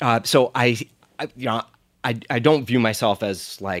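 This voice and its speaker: The sound is dry and close, with no echo. A man with a New Jersey accent talks with ordinary pitch variation. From US, New Jersey (Monmouth County). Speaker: pizza chef and restaurant owner. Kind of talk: casual interview chat.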